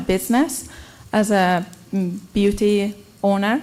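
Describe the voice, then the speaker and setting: A woman speaks with a non-native accent. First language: not English. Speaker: applicant, beauty salon owner. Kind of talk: public comment at council hearing. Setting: city council meeting. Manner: halting.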